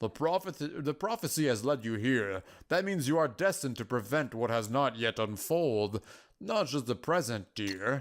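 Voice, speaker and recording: In a very clean recording with a silent background, a man does a put-on character voice at medium pitch and a moderate pace. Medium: game stream. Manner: calm, patient, affectionate.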